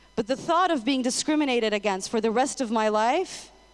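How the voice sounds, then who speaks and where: With an American accent, a woman speaks at a fairly high pitch. Her intonation is lively and her pace moderate. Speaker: public speaker, former marketing professional. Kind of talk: inspirational talk.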